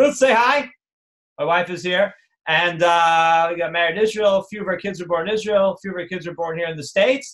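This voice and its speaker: Here a man with a New Jersey accent speaks at a high pitch. His pace is fairly quick and his pitch variation ordinary. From New Jersey, North Jersey. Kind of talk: live online class. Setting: live video stream. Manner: casual, animated.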